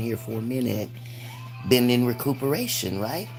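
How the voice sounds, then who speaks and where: A woman speaks at a moderate pace in a very deep, low voice with monotone, flat intonation. Music plays in the background. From United States. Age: 60s. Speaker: spiritual livestreamer. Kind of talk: livestream monologue. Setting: livestream.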